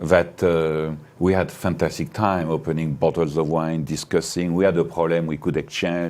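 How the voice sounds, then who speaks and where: With a French accent, a man speaks at a moderate pace in a very deep, low pitch. His tone is dark and mellow, and his intonation stays fairly even. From France. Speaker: winery owner. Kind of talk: interview. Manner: halting.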